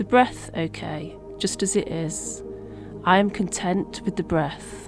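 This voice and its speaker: A woman's very slow, calm, soothing delivery with music in the background. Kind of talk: guided meditation. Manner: calm, soothing, slow.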